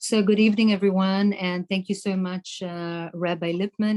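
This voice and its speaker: A woman speaks in a dark, mellow tone with a South African accent. Her delivery is monotone and flat, and the sound is dry and close with no echo. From South Africa, Cape Town. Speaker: politician. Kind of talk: debate opening statement. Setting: online debate.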